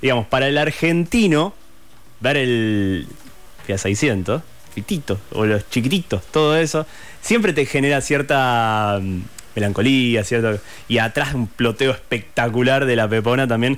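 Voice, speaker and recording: Using an ordinary speaking voice, a man at a medium pitch talks at a fairly slow pace with lively intonation and very even loudness. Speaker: radio host. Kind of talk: interview.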